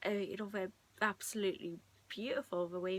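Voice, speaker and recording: Soft-spoken, a woman talks at a medium pitch. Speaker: video blogger. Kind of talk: casual chat. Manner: halting.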